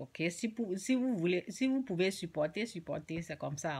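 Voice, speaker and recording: Speaking at a fairly slow pace, a woman uses a fairly low pitch and lively intonation. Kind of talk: informal religious teaching. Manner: soft-spoken; halting.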